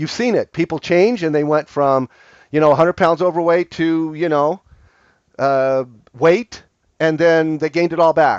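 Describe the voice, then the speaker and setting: A fairly high-pitched man's voice with fairly even intonation. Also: moderate pace. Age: 60s. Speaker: online marketing coach. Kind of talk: casual livestream talk. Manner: halting, many fillers.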